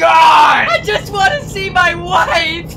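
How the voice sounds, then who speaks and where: Shouting, a woman performs a put-on character voice. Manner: pleading, desperate shouting.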